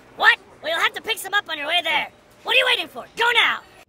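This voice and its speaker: An extremely high, cartoonish character voice rattles along at a very fast pace. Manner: impatient, bossy.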